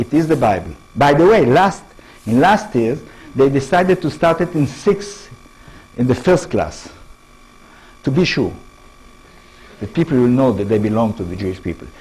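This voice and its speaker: Speech in an Israeli accent at a moderate pace, with very wide pitch swings and long, frequent pauses. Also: man, medium pitch for a man. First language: Hebrew. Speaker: professor. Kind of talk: lecture. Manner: halting.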